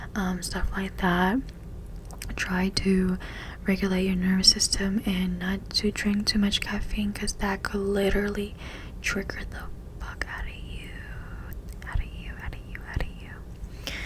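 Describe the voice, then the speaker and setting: A woman whispers at a fairly slow pace, with big swings in loudness. Noticeable background noise is present. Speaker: ASMR creator. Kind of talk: ASMR whisper ramble. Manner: whispered.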